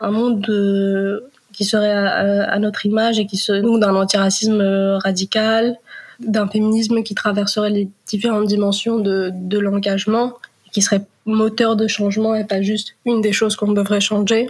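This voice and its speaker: A woman speaks at a medium pitch with monotone, flat intonation and a somewhat breathy quality. Her pace is moderate and her loudness very even. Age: 20s. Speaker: community activist. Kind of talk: testimony. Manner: halting.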